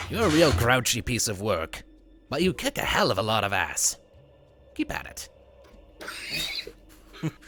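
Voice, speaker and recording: In a put-on character voice at a low-to-middle pitch, the speaker leaves long, frequent pauses. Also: moderate pace. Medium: actual play. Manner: chatty, brash.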